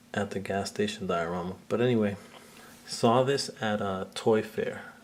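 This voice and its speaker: A quiet man speaks with a fairly low pitch. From Puerto Rican background. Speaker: action figure collector and photographer. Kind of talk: casual video talk. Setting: at home in living room. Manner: kept quiet, low voice.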